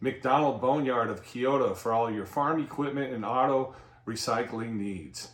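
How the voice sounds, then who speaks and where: A man speaks at a moderate pace and medium pitch, with ordinary pitch variation. It is a plain, everyday voice. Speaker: local TV show host. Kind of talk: sponsor announcement read.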